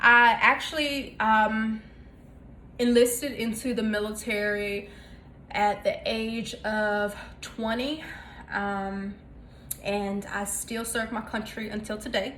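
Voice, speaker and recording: A woman with a Southern US accent, fairly high-pitched and very slow, with fairly even intonation, long, frequent pauses and audible room echo. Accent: Southern twang. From North Carolina, US South. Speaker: cooking vlogger. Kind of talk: casual cooking tutorial. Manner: casual with many fillers (um, uh).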